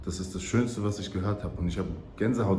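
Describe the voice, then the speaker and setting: A fairly low-pitched man with a slight German accent, animated in tone, at a fairly quick pace, amid audible room echo. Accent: slight German accent when speaking English. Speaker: travel vlogger. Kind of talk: casual vlog monologue.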